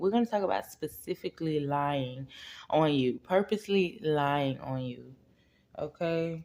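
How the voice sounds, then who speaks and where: Quiet and very deep, a woman's low voice carries lively intonation at a fairly slow pace. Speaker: spiritual reader / tarot channel host. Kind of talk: casual direct-to-camera spiritual message. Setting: at home, kids asleep. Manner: speaking quietly.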